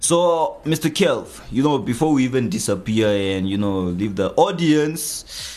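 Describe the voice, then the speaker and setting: This man speaks at a moderate pace, his pitch swinging very widely. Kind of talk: radio DJ patter, station-ID style jingle-like hype intro on a live show. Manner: animated, hyped-up, repeating station name and echoing 'yeah' for emphasis.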